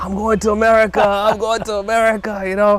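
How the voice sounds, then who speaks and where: A man with an East African accent talks at a very fast pace. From Tanzania (Dar es Salaam), moved to US at 16. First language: Swahili. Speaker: business co-founder and show host. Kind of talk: casual interview chat. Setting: outdoors in a backyard.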